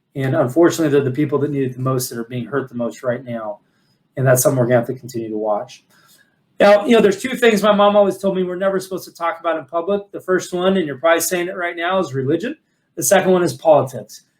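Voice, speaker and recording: The delivery comes at a very fast pace. Its intonation is lively. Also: man, fairly high pitch for a man. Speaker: financial advisor and firm CEO. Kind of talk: webinar presentation.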